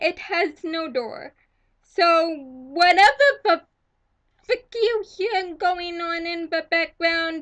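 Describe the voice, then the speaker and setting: Speaking at a very slow pace, a woman uses an extremely high pitch with ordinary pitch variation. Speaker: vlogger. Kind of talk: angry vlog rant. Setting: at home. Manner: loud at times.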